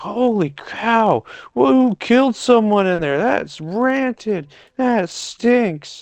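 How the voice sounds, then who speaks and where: This man uses a put-on character voice, high in pitch with lively intonation. He talks at a very slow pace. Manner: cussing, disgusted.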